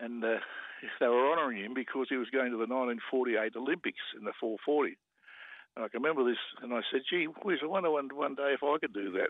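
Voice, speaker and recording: Talking at a fairly quick pace, a man with an Australian accent keeps a medium pitch and ordinary pitch variation. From Sydney, Australia. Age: 80s+. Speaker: former rugby player and sprinter. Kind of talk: radio interview.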